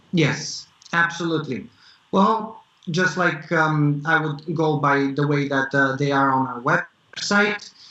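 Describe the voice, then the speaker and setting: Over noticeable background noise, a man with a fairly high pitch and ordinary pitch variation speaks at a very slow pace. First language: not English. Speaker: tech startup founder. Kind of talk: interview. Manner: halting, many fillers.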